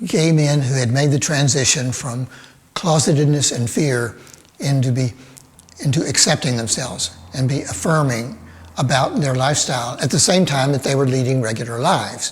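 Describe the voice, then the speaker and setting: A man of medium pitch with ordinary pitch variation, over noticeable background noise. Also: moderate pace. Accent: American. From Birmingham, Alabama. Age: 70s. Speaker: cartoonist. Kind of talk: interview answer. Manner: hesitant, thoughtful.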